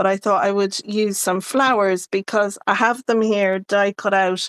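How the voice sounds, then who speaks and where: In an Irish accent, a woman speaks at a medium pitch and a fairly slow pace. Her intonation is monotone and flat, the sound dry and close with no echo. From Ireland. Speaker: card-making crafter. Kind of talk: casual live-stream chat. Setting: live stream.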